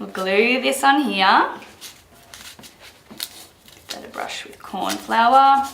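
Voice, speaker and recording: A woman speaks very slowly in a fairly high voice, with long, frequent pauses and big swings in loudness. The room echoes audibly, and background noise is noticeable. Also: ordinary pitch variation. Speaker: baker. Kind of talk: tutorial.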